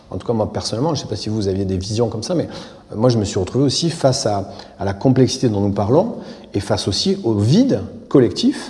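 A man talks at a very fast pace with lively intonation, his voice carrying audible room echo over noticeable background noise. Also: medium pitch for a man. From southern France, Aveyron. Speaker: architect. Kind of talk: public interview on stage. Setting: theatre stage.

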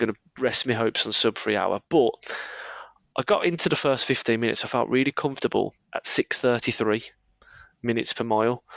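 A man's speech with ordinary pitch variation and long, frequent pauses. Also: medium pitch for a man, fairly quick pace. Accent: Birmingham. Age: 30s. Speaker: running coach. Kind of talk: casual chat, podcast.

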